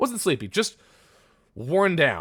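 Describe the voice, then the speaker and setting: This recording is very clean, with a silent background. The voice belongs to a man. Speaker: vtuber streamer. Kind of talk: live gameplay stream chat. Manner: loud; animated.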